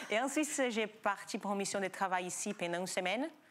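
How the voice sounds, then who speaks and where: With a slight non-native accent, a woman talks at a fairly quick pace in a medium pitch, her intonation lively. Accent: slight foreign. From Brazil. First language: Portuguese (speaking French). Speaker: yoga school founder. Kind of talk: TV talk show interview.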